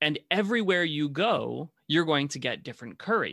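A man's fairly high, bright and sharp voice with vocal fry and lively intonation, at a moderate pace, dry and close with no echo, on a very clean recording over a silent background. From Africa. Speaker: podcast co-host. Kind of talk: casual chat.

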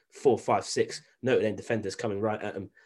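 A man speaks at a very fast pace with a British accent. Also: very clean recording, silent background. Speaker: sports podcast host. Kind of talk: sports analysis chat.

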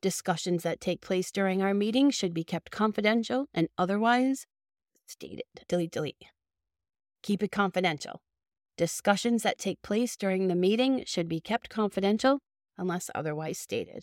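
Recorded very cleanly with a silent background, a woman with a Boston accent speaks at a medium pitch. Her moderate-paced delivery has a dry, close sound with no echo. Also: ordinary pitch variation. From Boston, Massachusetts. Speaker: childcare center owner and podcast host. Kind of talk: solo podcast monologue, informative business advice. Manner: friendly, conversational.

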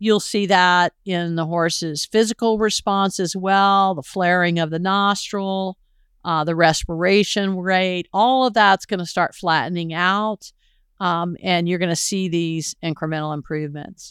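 At a fairly slow pace, a woman speaks in an ordinary speaking voice of medium pitch with fairly even intonation, in a very clean recording with a silent background and a dry, close sound with no echo. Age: 60s. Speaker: podcast host and horse trainer. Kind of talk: solo podcast talk.

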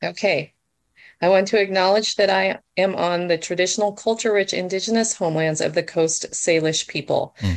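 A moderate pace marks this speech. It comes in a plain, everyday voice. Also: woman. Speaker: writer. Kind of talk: casual chat. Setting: video call.

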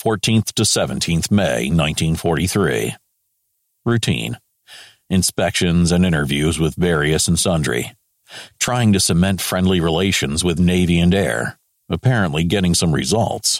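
A man puts on a character voice, low in pitch, speaking at a fairly slow pace with lively intonation in a dry, close sound with no echo.

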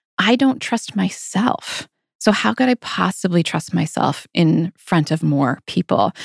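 Speaking at a fairly slow pace with vocal fry, a woman makes very wide pitch swings while keeping her loudness very even, in a dry, close sound with no echo. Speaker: podcast host, group practice owner. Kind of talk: casual chat, podcast conversation.

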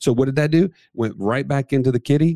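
A man speaks at a fairly quick pace with a dark, mellow tone and medium pitch. His pitch variation is ordinary, and the recording is very clean with a silent background. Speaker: co-host. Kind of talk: casual banter, promo reads.

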